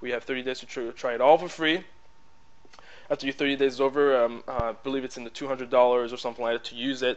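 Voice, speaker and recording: A man with a French accent, very fast pace and monotone, flat intonation. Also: medium pitch for a man. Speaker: tutorial maker, business presenter. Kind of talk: tutorial. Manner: casual, hesitant with fillers.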